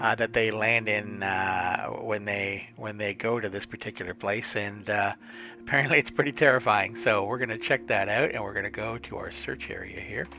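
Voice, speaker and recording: With music in the background, a man with a fairly low pitch talks at a moderate pace and ordinary pitch variation. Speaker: flight sim youtuber. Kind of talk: gameplay tutorial narration. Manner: casual, with many filler words; unaltered normal voice, no voice modulator.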